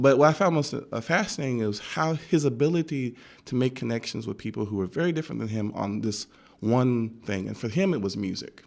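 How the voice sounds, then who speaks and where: A man with a normal speaking voice and an American accent talks at a medium pitch, fairly quickly, with lively intonation. The recording is very clean, with a silent background. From Texas. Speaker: community organizer and guest speaker on race. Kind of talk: radio interview. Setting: radio studio.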